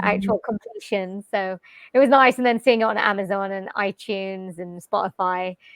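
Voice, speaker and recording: A woman talks at a moderate pace with fairly even intonation and medium pitch. The sound is dry and close with no echo, over a quiet background. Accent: Welsh. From Wales, UK. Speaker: jazz vocalist and voice-over artist. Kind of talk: interview answer. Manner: casual, conversational.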